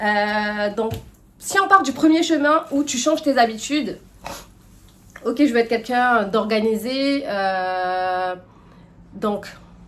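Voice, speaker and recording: Very slowly and with long, frequent pauses, a woman speaks at a fairly high pitch with lively intonation. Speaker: lifestyle and personal development youtuber. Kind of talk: casual advice monologue to camera. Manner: hesitant, many fillers.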